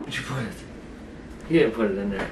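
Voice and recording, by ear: A man speaks at a fairly quick pace with fairly low pitch. Pitch variation is ordinary, and room echo is audible.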